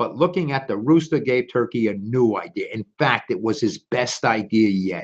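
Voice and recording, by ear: A man talks at a moderate pace, his pitch fairly low with a slightly husky edge. The pitch varies in an ordinary way.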